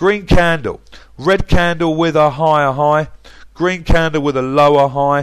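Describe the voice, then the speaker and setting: Speaking at a moderate pace with an English accent, a man has a fairly high pitch. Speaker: forex trading commentator. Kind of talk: market analysis tutorial. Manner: animated.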